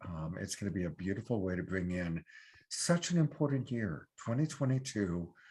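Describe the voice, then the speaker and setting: This man has an ordinary speaking voice, pitched fairly low, with lively intonation. He talks at a moderate pace. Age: 60s. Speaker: online show host and love coach. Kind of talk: sponsor pitch on live online show. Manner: casual, with fillers.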